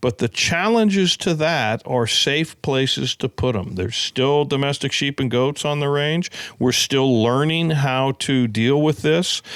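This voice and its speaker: Over noticeable background noise, yet in a dry, close sound with no echo, a man with an American accent and fairly high pitch talks at a fairly slow pace with hardly any pauses, very even loudness and lively intonation. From California. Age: 60s. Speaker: conservation organization executive. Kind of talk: podcast interview.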